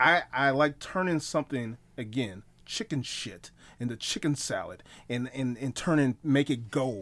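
On a very clean recording with a silent background, a man speaks at a fairly slow pace in an animated tone. His pitch is medium, with ordinary variation. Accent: American. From Wisconsin, US Midwest. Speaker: pro wrestler and haunt scare actor. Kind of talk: casual chat.

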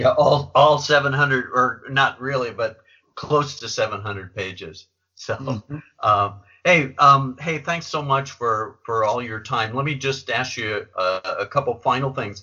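A man speaks in a normal speaking voice at a fairly high pitch. His pace is fairly slow, with ordinary pitch variation. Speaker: podcast host. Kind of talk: interview.

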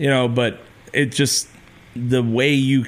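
A man with a plain, everyday voice, medium in pitch, at a fairly slow pace. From California Mojave desert, raised in Ventura. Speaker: musician and podcast host. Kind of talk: casual chat. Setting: studio.

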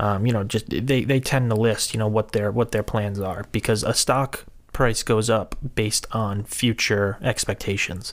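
On a very clean recording with a silent background, a man with an American accent talks at a moderate pace in a monotone, flat intonation. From US Northeast, Rhode Island. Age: 20s. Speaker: financial services associate. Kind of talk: casual interview.

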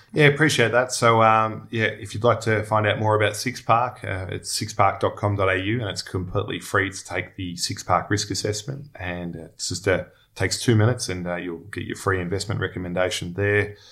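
Very clean audio with a silent background carries a man's voice in an Australian accent, fairly low in pitch. His tone is bright and sharp, and his intonation stays fairly even. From Melbourne, Australia. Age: 30s. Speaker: former pro footballer turned investment professional. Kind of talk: podcast interview. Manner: halting, many fillers and repeats.

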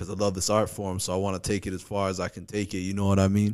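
Very fast speech in a New York accent. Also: man. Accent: New York-like. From Hawaii, Kauai. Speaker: comedian. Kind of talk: casual chat. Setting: studio.

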